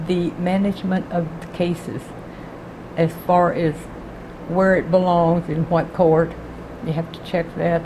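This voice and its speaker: A woman's fairly low voice at a very slow pace amid noticeable background noise. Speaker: retired clerk of the state supreme court. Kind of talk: interview answer.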